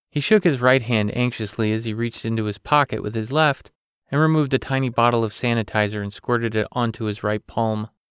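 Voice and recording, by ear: Pitch variation is ordinary as the speaker reads aloud in a natural voice. Behind it, all is quiet.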